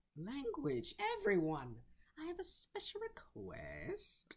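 A put-on character voice at a fairly slow pace. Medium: dub. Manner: polite, flirtatious.

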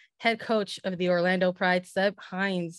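The sound is dry, with no echo, and the background is quiet. The pace is moderate. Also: woman. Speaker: soccer podcast host and sports writer. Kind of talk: interview. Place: home room. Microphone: studio mic.

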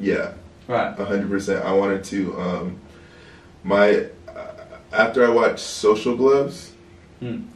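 A man's fairly slow speech, with big swings in loudness and audible room echo. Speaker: interview guest. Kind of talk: interview answer. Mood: relaxed, laughing at times. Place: home room.

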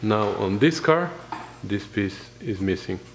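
Fairly low male voice against noticeable background noise. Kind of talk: tutorial.

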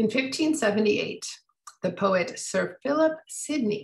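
In an American accent, a woman speaks with very wide pitch swings against a quiet background. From US Midwest. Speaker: author and historian. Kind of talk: book talk with slideshow; lecture. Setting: video call. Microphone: video call.

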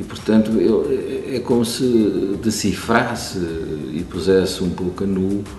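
The man's pitch is very deep and low. Audible room echo and faint background music accompany him. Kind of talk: interview answer. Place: stage.

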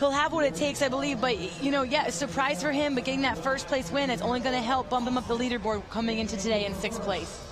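Very fast speech at a very even loudness, with ordinary pitch variation. Noticeable background noise sits behind it. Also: woman, high pitch for a woman. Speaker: color commentator. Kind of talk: live sports commentary. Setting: broadcast booth. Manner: explanatory, conversational analysis.

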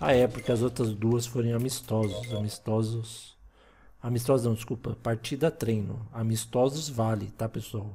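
A man's medium-pitched, dark, mellow, somewhat breathy voice with a Brazilian accent, at a moderate pace with fairly even intonation. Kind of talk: casual gameplay chat. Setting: home recording of video game.

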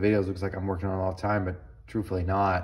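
Over a quiet background, a man speaks in a fairly low, somewhat breathy voice. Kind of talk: casual tutorial chat. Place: workshop. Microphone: phone near.

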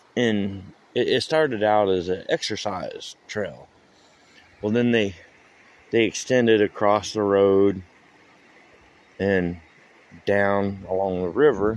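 Speaking very slowly with long, frequent pauses, a man uses a fairly low voice and fairly even intonation in a dry sound with no echo. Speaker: local vlogger. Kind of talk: casual vlog chat. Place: waterside. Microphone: phone near.

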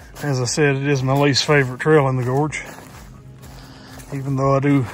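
A man's fairly quick, monotone delivery, flat in intonation, dry with no echo, over faint background music. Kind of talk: casual vlog chat. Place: forest. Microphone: phone near.

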